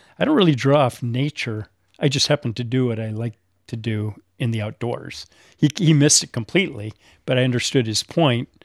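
A man with a normal speaking voice talks fairly quickly at a medium pitch with ordinary pitch variation, in a dry, close sound with no echo and a very clean recording against a silent background. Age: 50s. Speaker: bonsai tree collector. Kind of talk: casual group conversation. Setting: in-person recording with microphones.

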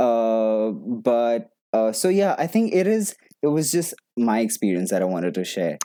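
A man speaks at a moderate pace in a medium pitch, with very wide pitch swings, a dark, mellow tone and very even loudness. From India. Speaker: actor. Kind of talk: casual chat. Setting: video call.

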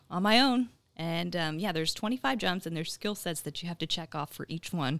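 The voice has an American accent, recorded very cleanly against a silent background with a dry, close sound and no echo. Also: woman. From Texas, Dallas area. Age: 20s. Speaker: TV journalist and bodybuilding competitor. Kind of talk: casual interview.

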